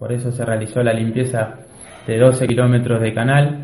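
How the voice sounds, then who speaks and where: A man's medium-pitched, somewhat breathy voice stays in a flat monotone, with audible room echo. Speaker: local government official. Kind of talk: radio interview.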